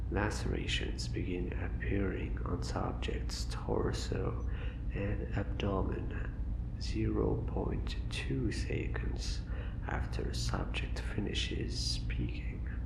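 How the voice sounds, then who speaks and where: The speech moves at a very slow pace. Noticeable background noise runs throughout. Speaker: ASMR content creator. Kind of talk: ASMR horror story reading.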